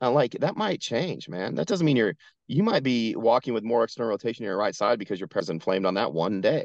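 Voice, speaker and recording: Talking at a very fast pace with very wide pitch swings, a man is heard in a dry, close sound with no echo. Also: medium pitch for a man, quiet background. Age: 40s. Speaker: performance coach, military veteran. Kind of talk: casual interview chat. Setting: outdoors at a truck rental lot, remote call.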